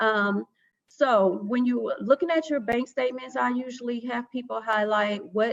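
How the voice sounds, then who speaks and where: A woman talks at a fairly high pitch. The pitch moves in an ordinary way. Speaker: financial educator presenter. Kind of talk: presentation. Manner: fast.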